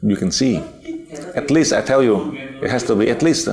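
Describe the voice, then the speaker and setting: With a Vietnamese accent and ordinary pitch variation, a man speaks over noticeable background noise and audible room echo. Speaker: spiritual teacher. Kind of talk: lecture. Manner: halting, many fillers.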